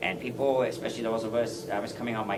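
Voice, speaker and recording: A man with an American accent talks at a very fast pace. Audible room echo and noticeable background noise fill the recording. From Texas, San Antonio. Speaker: war veteran. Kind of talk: speech. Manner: halting.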